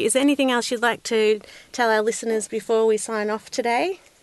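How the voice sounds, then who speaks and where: With an Australian accent, a woman talks at a moderate pace and a fairly high pitch. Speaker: podcast host. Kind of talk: interview.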